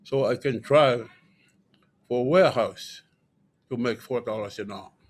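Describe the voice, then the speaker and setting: In a very clean recording with a silent background, a man with a Tongan accent talks at a fairly slow pace in a medium pitch. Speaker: panelist. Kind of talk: personal testimony. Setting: conference stage with audience.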